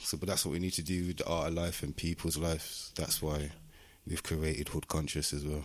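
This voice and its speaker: In a very clean recording with a silent background, a man with a very deep, low pitch speaks fairly quickly, monotone and flat, at very even loudness. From Birmingham, West Midlands, England. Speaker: musician and community project founder. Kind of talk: casual interview chat.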